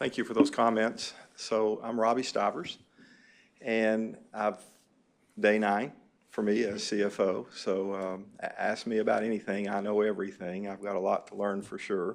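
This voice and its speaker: A man speaks in a Southern US accent with a fairly low pitch. His intonation stays flat and monotone. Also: moderate pace. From US South, southeast Kentucky. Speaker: chief financial officer. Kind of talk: self-introduction at a board meeting. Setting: board meeting room. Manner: halting, many fillers.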